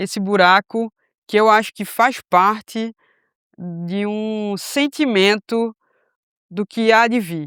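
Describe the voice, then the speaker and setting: On a very clean, dry, close recording with no echo and a silent background, a woman speaks at a very slow pace and fairly high pitch, with ordinary pitch variation and long, frequent pauses. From Brazil, Recife, Pernambuco. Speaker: missionary. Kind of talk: casual chat. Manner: hesitant, many fillers.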